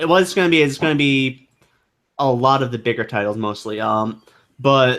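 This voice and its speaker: Speaking at a fairly quick pace, a man uses a medium pitch with ordinary pitch variation. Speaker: anime podcast co-host. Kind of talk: casual chat. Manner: fast.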